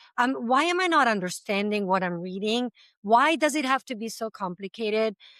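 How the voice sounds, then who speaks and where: A woman speaks with an Italian accent at a fairly high pitch and a moderate pace. Her pitch swings very widely, and the sound is dry and close with no echo. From Italy. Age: 40s. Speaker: language school founder. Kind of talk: interview conversation.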